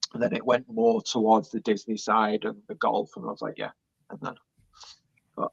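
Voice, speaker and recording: A man with a British accent at a moderate pace, with long, frequent pauses and a dry, close sound free of echo. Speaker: Disney vlogger. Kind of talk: interview answer.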